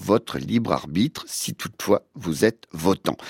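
A man speaks at a very slow pace, the sound dry and close with no echo, on a very clean recording with a silent background. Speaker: radio host. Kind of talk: scripted narration.

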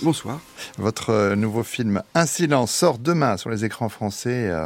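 The intonation is lively. This man's pace is very slow. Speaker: radio host. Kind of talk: radio interview.

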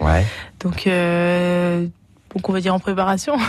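Fairly slow speech from a woman, medium in pitch. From France, Berry (Vierzon). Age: 20s. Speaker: singer. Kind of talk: radio interview. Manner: hesitant, filler words.

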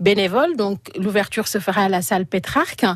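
A woman with a normal speaking voice, a medium pitch and a moderate pace. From Senegal, Casamance. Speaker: association president. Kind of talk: radio interview. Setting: studio.

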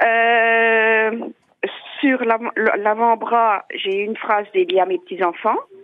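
Very slow speech from a woman, fairly high in pitch, with ordinary pitch variation and pauses that are long and frequent. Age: 40s. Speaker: caller. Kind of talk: phone-in testimony.

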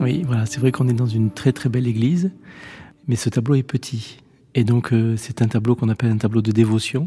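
A man speaks at a medium pitch with ordinary pitch variation and a fairly quick pace. His tone is dark and mellow, and somewhat breathy. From Lot-et-Garonne, southwest France. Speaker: priest. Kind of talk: interview, describing a painting. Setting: inside a church.

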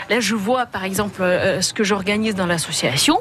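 Over noticeable background noise, a woman with a slight Russian accent speaks at a medium pitch and a moderate pace. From Russia (Leningrad). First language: Russian (speaking French). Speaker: association president. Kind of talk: radio talk show. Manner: halting.

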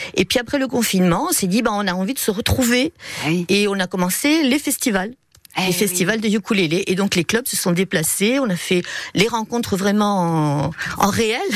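A woman at medium pitch speaks at a moderate pace in a plain, everyday voice with lively intonation. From Montpellier, southern France. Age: 50s. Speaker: primary school teacher, ukulele player. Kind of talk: radio interview.

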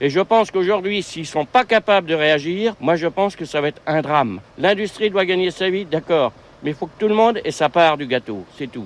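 Recorded with a dry, close sound and no echo, a man speaks at a high pitch and moderate pace with lively intonation. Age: 60s. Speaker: retired farmer, protester. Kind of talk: street interview at protest.

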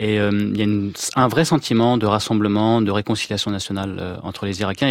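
A man talks at a fairly quick pace in a normal speaking voice. His pitch sits fairly low, with fairly even intonation. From France, Iraqi family. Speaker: war reporter. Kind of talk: radio interview.

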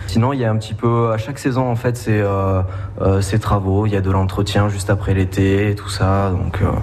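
Over noticeable background noise and audible room echo, a man talks at a moderate pace in a fairly low, monotone, flat voice. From Béarn, southwest France. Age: young. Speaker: campsite maintenance worker. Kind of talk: radio interview. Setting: on location at a campsite.

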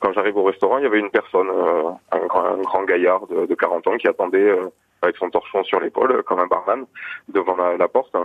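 A man talks at a fairly quick pace. His loudness stays very even. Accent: Périgord. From Gers, southwest France. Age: 30s. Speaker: caller. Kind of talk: testimony. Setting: phone call.

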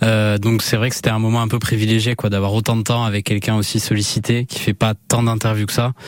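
A man talks fairly quickly while noticeable background noise fills the recording. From Basque Country, France (Anglet). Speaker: music journalist. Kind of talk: radio interview.

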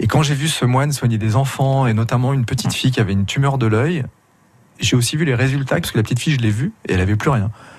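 A man speaks very fast in a medium pitch with ordinary pitch variation and a somewhat breathy sound. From France, Grenoble. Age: 50s. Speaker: emergency doctor and documentary maker. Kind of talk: radio interview. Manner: halting.

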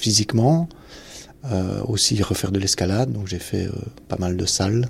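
A man's dark, mellow tone at a fairly low pitch. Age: 50s. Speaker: retired soldier. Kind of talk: testimony. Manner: halting.

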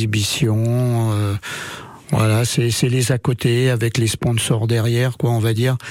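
Over noticeable background noise, a man speaks fairly slowly in a monotone, flat intonation. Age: 60s. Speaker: pétanque player. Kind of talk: radio interview. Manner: halting, repetitive.

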